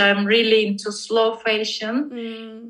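In a Turkish accent, a woman with a bright, sharp tone speaks at a very slow pace. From Turkey, Istanbul. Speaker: visual artist. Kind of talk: casual interview.

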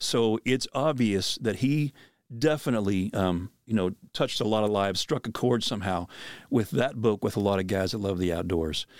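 An ordinary speaking voice: a man with an American accent, medium pitch, ordinary pitch variation and a fairly quick pace, dry and close with no echo, on a very clean recording with a silent background. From Pennsylvania. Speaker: podcast host and outdoor minister. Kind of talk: casual chat.

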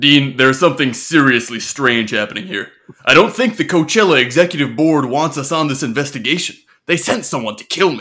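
A man does a put-on character voice at a fairly quick pace. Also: fairly high pitch for a man. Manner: earnest, serious.

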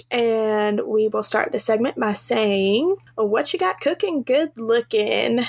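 At a very slow pace and with hardly any pauses, the speaker uses a Southern US accent, ordinary pitch variation and very even loudness, in a dry, close sound with no echo and noticeable background noise. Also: woman, fairly high pitch for a woman. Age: 20s. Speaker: podcast co-host. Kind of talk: casual chat. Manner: animated.

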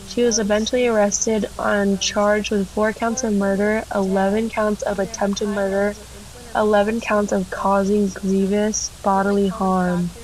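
Against noticeable background noise, a woman speaks fairly slowly at medium pitch, with very even loudness and monotone, flat intonation. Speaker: podcast co-host. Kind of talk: casual chat with story reading; reading aloud. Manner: flat, monotone storytelling.

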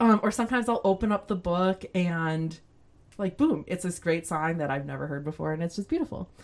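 A woman with an American accent talks at a fairly quick pace in a fairly low pitch with ordinary pitch variation. It is a plain, everyday voice, recorded very cleanly against a silent background. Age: 40s. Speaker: church musician and singer. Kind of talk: casual interview chat.

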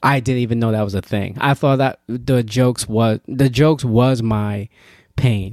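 A man with an ordinary speaking voice and an American accent speaks at medium pitch in a very clean recording with a silent background. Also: fairly even intonation, moderate pace. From Yonkers, New York. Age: 30s. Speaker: comedian. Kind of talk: casual chat.

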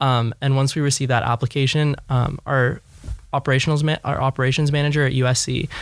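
A man with a Californian accent at a medium pitch, speaking at a fairly quick pace with fairly even intonation, on a very clean recording with a silent background. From Los Angeles. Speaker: startup executive. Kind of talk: interview.

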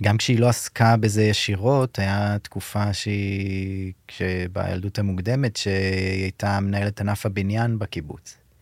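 Nothing intrudes on this very clean recording, its background silent. The delivery is monotone, with flat intonation. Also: man, fairly low pitch for a man, fairly slow pace. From Israel, kibbutz in the south. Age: 30s. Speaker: social worker. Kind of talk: interview, personal testimony. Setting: studio. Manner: halting.

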